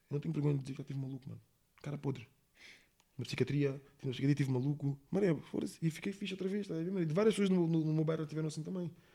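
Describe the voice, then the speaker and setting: Speaking at a very fast pace, a man uses a dark, mellow tone that is somewhat breathy, with a fairly high pitch and ordinary pitch variation. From Portugal, Monte da Caparica (Almada), lived in England. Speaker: rapper. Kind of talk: casual interview. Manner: slangy, repetitive filler (está a saber, mano).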